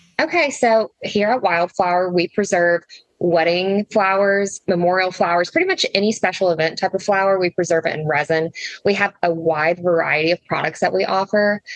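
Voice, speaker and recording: A woman speaks at medium pitch and a moderate pace, with a slight Southern US accent. The sound is dry and close with no echo, and her loudness stays very even. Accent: slight Southern twang. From US South, Tennessee. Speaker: flower preservation business owner. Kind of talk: casual interview. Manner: animated.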